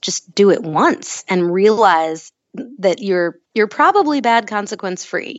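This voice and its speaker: The speaker has a plain, everyday voice with lively intonation. The pace is fairly slow. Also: woman. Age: 30s. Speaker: author. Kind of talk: interview.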